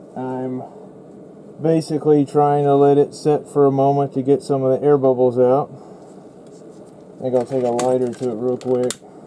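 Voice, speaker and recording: Amid noticeable background noise, a man talks at a moderate pace in a relaxed tone with monotone, flat intonation and long, frequent pauses. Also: medium pitch for a man. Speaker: resin crafter, small online shop owner. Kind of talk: casual crafting tutorial narration. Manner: relaxed, hesitant.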